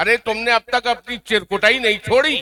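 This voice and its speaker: A man's raised, projected voice, bright and sharp in tone, with a dry, close sound and no echo. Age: 70s. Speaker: senior journalist. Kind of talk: award ceremony speech.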